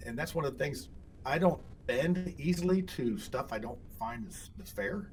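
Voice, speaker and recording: Pitch swings very widely with an American accent. There's audible echo from the room. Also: man. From Indiana. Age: 60s. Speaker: political candidate. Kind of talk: interview. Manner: halting, many repeats and fillers.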